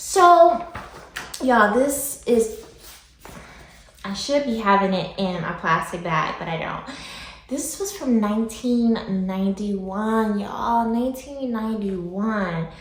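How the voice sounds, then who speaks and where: A woman's fairly high voice with an American accent, very wide pitch swings, a fairly slow pace, long and frequent pauses, audible room echo and noticeable background noise. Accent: slight country-sounding. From Michigan. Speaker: comic book YouTuber. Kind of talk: casual vlog review. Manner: animated.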